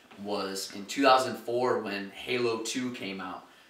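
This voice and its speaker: Noticeable background noise and audible room echo accompany a man with an American accent whose intonation stays fairly even. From US Midwest, Toledo, Ohio. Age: 20s. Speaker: college student, gamer. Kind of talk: documentary interview. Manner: casual, many filler phrases.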